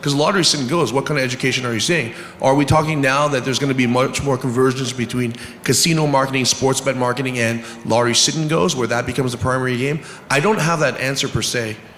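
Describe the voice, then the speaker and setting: Over noticeable background noise, a man talks at a very fast pace and medium pitch with fairly even intonation. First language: not English. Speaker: poker industry executive. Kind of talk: panel discussion.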